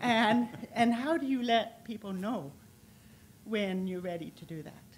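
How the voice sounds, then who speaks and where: A woman speaks at a fairly slow pace with a fairly high pitch and lively intonation, her loudness swinging widely. Room echo can be heard. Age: 60s. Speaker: audience member and patient. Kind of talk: audience question. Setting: conference hall with audience. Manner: halting.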